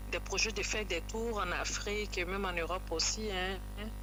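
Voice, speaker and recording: Man with an Ivorian accent at a moderate pace, with audible room echo and music in the background. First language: Tagbana (speaking French). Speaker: singer. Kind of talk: radio interview.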